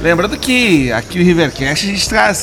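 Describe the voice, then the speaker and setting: High male voice at a moderate pace, amid noticeable background noise. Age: 40s. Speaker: podcast host. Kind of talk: casual interview chat.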